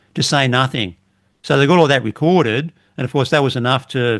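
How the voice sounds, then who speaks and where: A man with an Australian accent at medium pitch, with ordinary pitch variation. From Australia, western Sydney. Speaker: retired police officer. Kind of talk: casual chat.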